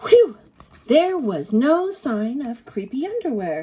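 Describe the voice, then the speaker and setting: A woman speaks fairly slowly at a high pitch, her voice swinging very widely up and down. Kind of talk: read-aloud for children. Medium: read story. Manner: expressive, playful spooky emphasis.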